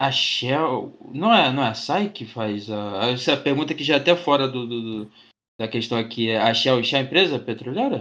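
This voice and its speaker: Speaking at a moderate pace, a man with a Rio de Janeiro accent has a medium pitch, ordinary pitch variation, and a bright, sharp tone. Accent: Carioca Brazilian Portuguese. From Rio de Janeiro, Brazil. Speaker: student podcast host. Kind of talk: casual interview.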